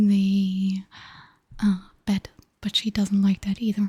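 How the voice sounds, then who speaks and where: In a dry, close recording with no echo, a woman with a medium pitch speaks in a somewhat breathy voice with a dark, mellow tone. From Germany. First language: German. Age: 20s. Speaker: streamer. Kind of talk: casual chat.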